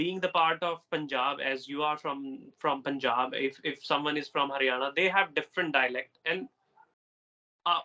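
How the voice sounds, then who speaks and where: The man's bright, sharp tone sits at a fairly high pitch, moving at a moderate pace with ordinary pitch variation in a dry, close sound with no echo. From Delhi, India. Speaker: English tutor. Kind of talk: casual conversation practice.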